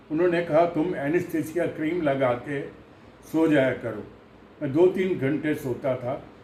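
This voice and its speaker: A man's fairly high voice with fairly even intonation and audible echo from the room. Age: 80s+. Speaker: patient sharing recovery experience. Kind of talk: testimony. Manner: halting.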